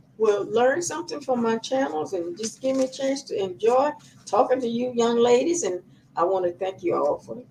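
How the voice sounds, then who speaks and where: A woman's fairly high-pitched voice with a dark, mellow tone at a moderate pace. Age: 90s. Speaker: homesteading advice YouTuber. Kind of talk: casual talk to camera. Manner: halting.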